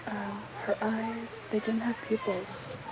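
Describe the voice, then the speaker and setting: A woman with a fairly high pitch speaks very slowly in a gentle, soft-spoken tone over noticeable background noise. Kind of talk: ASMR soft-spoken personal story to camera, recounting a paranormal experience. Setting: outdoors on a back porch in the rain, with neighbor noise in the background. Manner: soft-spoken, gentle, conversational.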